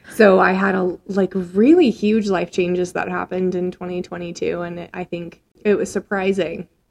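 A woman of medium pitch with monotone, flat intonation. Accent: American. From US Midwest (Nebraska, Minnesota). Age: 20s. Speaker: podcast co-host and educator. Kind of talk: casual chat. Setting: studio.

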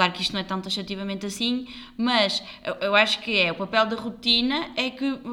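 Noticeable background noise sits behind a woman with a European Portuguese accent. She uses ordinary pitch variation. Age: 30s. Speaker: podcast co-host, health professional. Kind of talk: casual chat.

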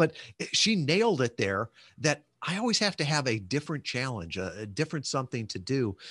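A man talks in an American accent at a moderate pace. The sound is dry and close with no echo, over a quiet background. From US Midwest, western suburbs of Chicago. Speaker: entrepreneur, former naval officer. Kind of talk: interview, casual chat.

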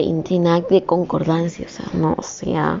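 A woman speaks at a fairly slow pace in an animated tone. Noticeable background noise is present. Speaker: student vlogger. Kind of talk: motivational monologue. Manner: spontaneous, unscripted. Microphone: poor audio quality.

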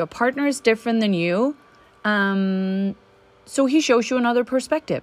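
A woman with a Danish accent talks at a moderate pace and a fairly high pitch, with ordinary pitch variation. The very clean recording has a silent background and a dry, close sound with no echo. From Denmark. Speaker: relationship coach podcaster. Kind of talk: solo podcast monologue. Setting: home recording with leaf blower outside. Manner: hesitant with fillers.

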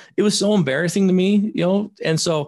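The voice has an animated tone and is somewhat breathy. The background is quiet. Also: man. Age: 40s. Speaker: addiction therapist and recovery coach. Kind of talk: casual interview.

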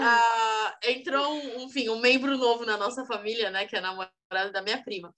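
A raised, projected voice at a moderate pace with lively intonation. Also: woman. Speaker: podcast co-host. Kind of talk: casual chat.

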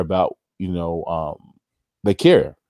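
Fairly even intonation runs through this man's speech. His tone is dark and mellow. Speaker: panelist. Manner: hesitant, many filler words.

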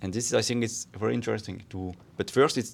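Recorded very cleanly against a silent background, a man with a fairly low-pitched voice speaks with a French accent. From France. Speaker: podcast co-host. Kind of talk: casual chat.

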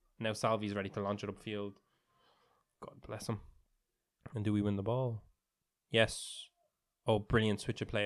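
Animated in tone, a man speaks at a moderate pace with long, frequent pauses. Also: fairly low pitch for a man. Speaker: football podcast co-host. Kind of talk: live-style sports commentary while watching the match, banter. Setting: studio, watching a stream of the match. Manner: animated, reactive, interjecting short match calls over co-host.

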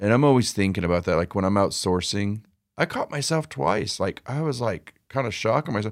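A man's fairly low-pitched, normal speaking voice with an American accent, lively intonation and a fairly quick pace, dry and close with no echo in a very clean recording with a silent background. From San Jose, California. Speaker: reseller. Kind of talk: casual chat. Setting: music studio.

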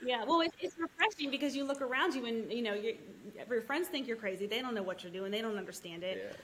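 Over noticeable background noise, a woman talks at a very fast pace with a fairly high pitch and lively intonation. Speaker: land investor, mother. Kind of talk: casual interview chat.

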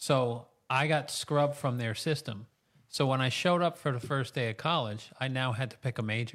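This very clean recording of a man has a silent background and an unremarkable speaking voice. He talks at a moderate pace with an American accent, a medium pitch and ordinary pitch variation. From New York State, US. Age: 50s. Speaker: chiropractor. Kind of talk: interview conversation. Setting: studio.

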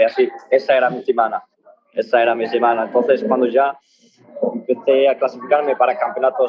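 At a moderate pace, a man speaks with ordinary pitch variation. His pitch is fairly high. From Morocco (Tangier), raised in Spain. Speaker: barefoot runner. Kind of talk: interview. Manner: halting.

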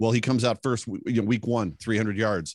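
Speaking at a very fast pace with an American accent, a man comes through on a very clean recording with a silent background and a dry, close sound with no echo. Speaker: sports podcaster, NFL analyst. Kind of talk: casual chat about NFL team.

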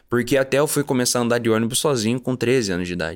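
On a very clean recording with a silent background, a man speaks. His pitch is medium, with ordinary pitch variation. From Curitiba, Paraná, Brazil. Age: 20s. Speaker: actor. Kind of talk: testimony. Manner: halting.

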